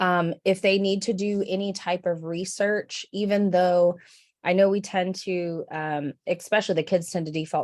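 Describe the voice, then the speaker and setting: A woman with an ordinary speaking voice, fairly low in pitch, with fairly even intonation, a moderate pace and a quiet background. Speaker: school librarian. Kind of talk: presentation.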